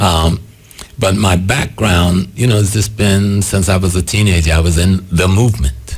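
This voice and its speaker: Speaking with an American accent, a man with a very deep, low pitch keeps a moderate pace, ordinary pitch variation and very even loudness against noticeable background noise. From US South, South Carolina Gullah/Geechee area. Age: 70s. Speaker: spiritual leader and activist. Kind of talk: interview.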